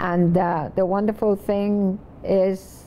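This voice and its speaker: Her intonation stays monotone and flat as this woman speaks. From Puerto Rico (Vieques), then New York from age 12. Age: 90s. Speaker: poet. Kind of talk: reflective interview. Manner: halting, with frequent fillers.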